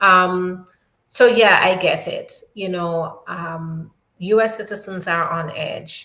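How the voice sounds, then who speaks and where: Here the tone is bright and sharp, and the intonation fairly even. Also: woman. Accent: Jamaican. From New York. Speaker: immigration attorney. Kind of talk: live Q&A stream. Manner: casual, conversational with fillers.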